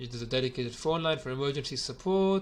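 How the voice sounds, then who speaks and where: Speaking very fast, the man shows ordinary pitch variation. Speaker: gym owner reviewing software. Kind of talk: software review video. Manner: hesitant, many fillers.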